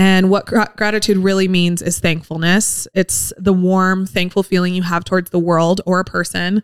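This woman talks fairly slowly. Her voice has a medium pitch. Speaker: podcast co-host. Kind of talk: casual chat. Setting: live broadcast from a car museum. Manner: calm.

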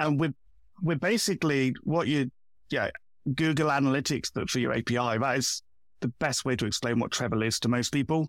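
In a dry, close sound with no echo and a silent background on a very clean recording, a man speaks at a moderate pace and medium pitch, with ordinary pitch variation, very even loudness and long, frequent pauses. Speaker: developer relations guest. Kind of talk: casual interview chat.

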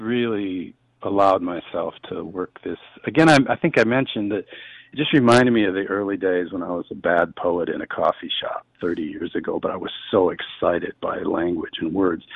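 With an Upper Midwest accent, a man speaks at a moderate pace. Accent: Upper Midwest American. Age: 50s. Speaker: author and humorist. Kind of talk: interview. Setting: studio.

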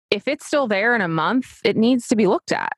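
This is an unremarkable speaking voice from a woman with an American accent, pitched fairly high. She talks at a moderate pace in a dry, close sound with no echo. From US Mid-Atlantic, Delaware coast. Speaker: dermatology nurse practitioner. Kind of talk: casual interview chat.

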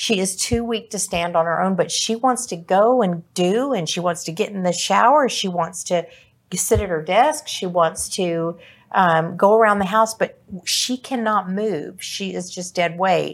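At a fairly slow pace and medium pitch, a woman talks in a plain, everyday voice on a very clean recording with a silent background. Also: ordinary pitch variation. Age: 60s. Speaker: senior care podcast co-host. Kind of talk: casual discussion.

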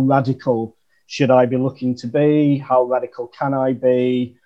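With a northern English accent, a man speaks at medium pitch in a monotone, flat intonation. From northern England, Chesterfield. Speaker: marketer. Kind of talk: casual chat.

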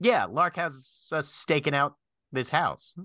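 A man's put-on character voice, fairly high in pitch, with lively intonation, a bright, sharp tone and a slow pace

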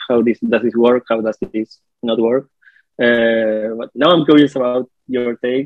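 His voice sits at a medium pitch. The man has a Spanish accent. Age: 30s. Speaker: comic book artist. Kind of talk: casual interview chat.

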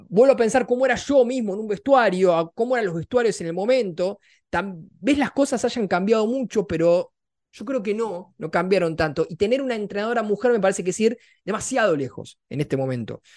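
A man speaks in a Rioplatense accent at a high pitch with lively intonation. His pace is fairly quick, on a very clean recording with a silent background. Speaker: sports podcast co-host. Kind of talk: casual chat.

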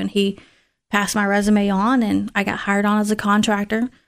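A woman's medium-pitched voice in a very clean recording with a silent background. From Tennessee. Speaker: military HR assistant and voting officer. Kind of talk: interview.

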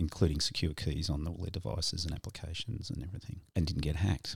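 A man with an Australian accent speaks at a fairly quick pace in a very deep, low voice that is somewhat breathy. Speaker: podcast host. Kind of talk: casual chat.

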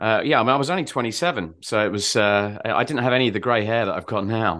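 Over a quiet background, a man at medium pitch speaks in an unremarkable speaking voice with ordinary pitch variation. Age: 50s. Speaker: marketing agency director and author. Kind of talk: interview conversation.

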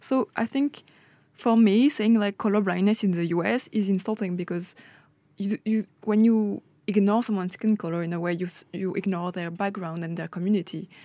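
A woman with a French accent speaks at medium pitch with ordinary pitch variation and a dark, mellow tone. The sound is dry and close with no echo, on a very clean recording with a silent background. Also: moderate pace. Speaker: student. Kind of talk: casual radio discussion.

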